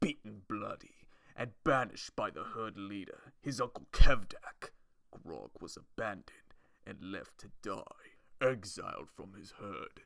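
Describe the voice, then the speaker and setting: The speaker is a man. His voice is a put-on character voice. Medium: solo performance. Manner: blunt, slow, simple.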